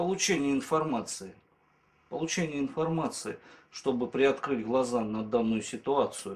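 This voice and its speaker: At a fairly slow pace, with long, frequent pauses, a man speaks in a fairly high pitch. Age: 30s. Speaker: former drinker giving a course testimonial. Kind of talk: testimonial interview.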